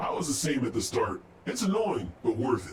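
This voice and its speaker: At a moderate pace, a man speaks in a put-on character voice over clear background noise. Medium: video game.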